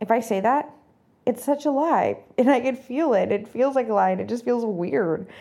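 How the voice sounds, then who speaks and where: A woman with a fairly high pitch and a dark, mellow tone, some vocal fry, lively intonation and a moderate pace, against a quiet background. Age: 30s. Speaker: self-love podcast host. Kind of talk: casual monologue. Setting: recording while traveling.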